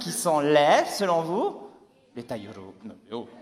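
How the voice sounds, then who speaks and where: A man's animated tone amid audible room echo and noticeable background noise. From Tahiti, French Polynesia. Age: 30s. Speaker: comedian. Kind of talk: stand-up. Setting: stage with audience.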